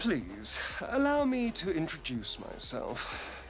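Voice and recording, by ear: A man puts on a character voice, fairly high in pitch for a man and slow in pace, with very wide pitch swings and clear music in the background.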